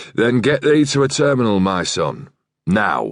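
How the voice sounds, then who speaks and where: Putting on a character voice, a man growls in a raspy, gravelly medium pitch at a moderate pace with lively intonation. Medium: read story. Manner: growling, curt.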